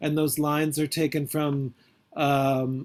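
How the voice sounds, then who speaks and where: Speaking at a fairly slow pace, the man has a fairly high pitch and a plain, everyday voice. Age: 50s. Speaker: poet and priest. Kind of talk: interview Q&A.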